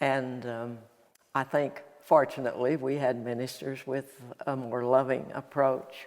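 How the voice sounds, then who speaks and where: A woman with an Appalachian accent, very deep and low in pitch, at a very slow pace. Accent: Appalachian Southern. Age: 80s+. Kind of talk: interview answer.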